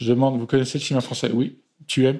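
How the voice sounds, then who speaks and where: This man's voice sits at a fairly high pitch. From France, Seine-Saint-Denis (Paris suburbs). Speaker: film director. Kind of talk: interview. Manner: halting.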